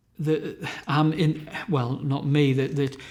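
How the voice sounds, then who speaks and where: The speaker has a Northumbrian accent and a monotone, flat intonation. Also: man. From Northumberland, England. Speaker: novelist and musician. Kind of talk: interview answer.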